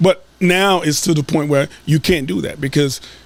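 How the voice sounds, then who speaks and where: This man has a plain, everyday voice with a fairly high pitch. His intonation is lively and his pace moderate. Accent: American. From US South. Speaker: school board candidate. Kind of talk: podcast interview.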